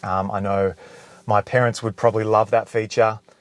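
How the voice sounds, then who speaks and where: This man's voice is fairly low in pitch and delivered in a monotone, flat intonation. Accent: Australian. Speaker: car video creator. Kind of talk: tutorial. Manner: casual.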